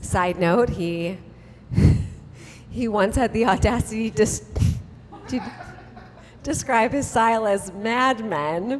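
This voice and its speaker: A woman speaks at a very slow pace in a fairly high pitch, with ordinary pitch variation. She leaves long, frequent pauses, and background noise is noticeable. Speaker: author and storyteller. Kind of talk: live storytelling reading of a comic memoir. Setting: live stage with audience. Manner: comedic, conversational.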